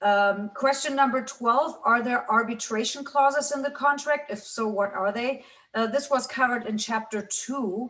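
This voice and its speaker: Her tone is bright and sharp, and this woman's pitch is high. She speaks with hardly any pauses. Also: ordinary pitch variation, moderate pace. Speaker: business law professor. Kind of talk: lecture. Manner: halting, many fillers.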